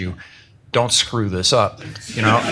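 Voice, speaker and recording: Fairly even intonation in very fast speech, with noticeable background noise. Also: man. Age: 70s. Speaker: author. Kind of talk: book launch talk.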